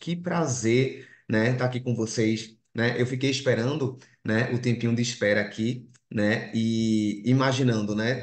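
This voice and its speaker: Speaking in a strong Recife accent at a medium pitch, a man keeps his intonation fairly even, with audible room echo around him. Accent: strong Recife (Pernambuco). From Brazil, Recife (Pernambuco). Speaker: clinical psychologist and lecturer. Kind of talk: online lecture. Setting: video call. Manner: frequent 'né' fillers.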